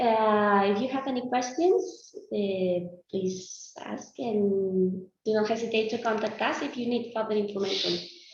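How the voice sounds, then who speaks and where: A woman with a Spanish accent speaks at a fairly slow pace, with audible room echo. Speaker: health data presenter. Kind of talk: conference Q&A.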